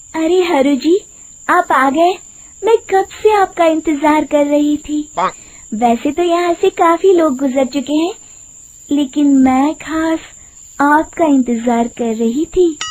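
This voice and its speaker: Cackling in a put-on character voice, a woman speaks at a high pitch and a fairly slow pace over light background noise. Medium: cartoon. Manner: sweet then cackling.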